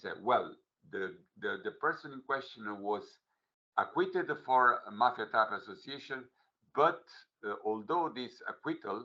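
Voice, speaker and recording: A man speaks at a fairly slow pace, leaving long, frequent pauses. His loudness swings widely. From Italy. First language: Italian. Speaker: legal official. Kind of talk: workshop presentation. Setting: online video meeting. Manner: halting, many fillers.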